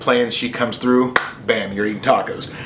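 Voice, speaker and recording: A man with a medium pitch talks fairly quickly while noticeable background noise plays behind him. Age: 30s. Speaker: podcast host. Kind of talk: casual monologue. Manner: casual, with fillers.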